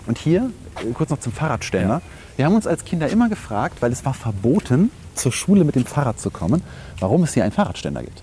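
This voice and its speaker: The tone is dark and mellow, with vocal fry. Delivery is very fast, with very wide pitch swings. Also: man, fairly high pitch for a man. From Rhineland, Germany (Langenfeld). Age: 30s. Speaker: podcast host. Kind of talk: casual chat.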